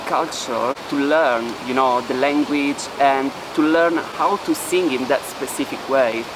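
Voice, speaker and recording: A man speaks with an Italian accent at a fairly slow pace. His pitch varies in an ordinary way over noticeable background noise. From Italy. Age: 20s. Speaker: singer. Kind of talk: documentary interview.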